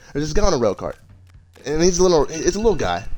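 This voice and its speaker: Music plays in the background. Over it, a man speaks with a fairly high voice. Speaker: youtuber. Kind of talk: storytelling. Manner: halting.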